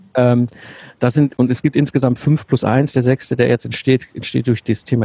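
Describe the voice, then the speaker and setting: A man speaks at medium pitch and a moderate pace, his tone dark, mellow, and somewhat breathy. The intonation is fairly even, and the sound is dry and close with no echo. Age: 40s. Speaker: systems engineer and business mentor. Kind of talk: interview.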